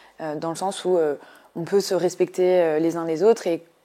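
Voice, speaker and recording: Over a very clean recording with a silent background, a woman talks at a moderate pace. Her fairly low voice has a dark, mellow tone and fairly even intonation. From rural France. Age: 20s. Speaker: political candidate. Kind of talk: interview. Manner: halting, many fillers.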